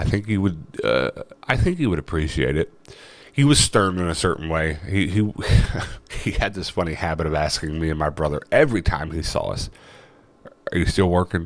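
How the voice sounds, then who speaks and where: The speech moves at a fairly quick pace with ordinary pitch variation. Long, frequent pauses break it up. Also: man, very deep, low pitch for a man. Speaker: vlogger and thrift reseller. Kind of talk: casual vlog monologue.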